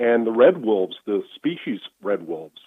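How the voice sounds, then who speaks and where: With an unremarkable speaking voice, a man talks at a moderate pace, fairly low in pitch, with ordinary pitch variation. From Washington DC area. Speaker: retired lawyer. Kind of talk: casual interview.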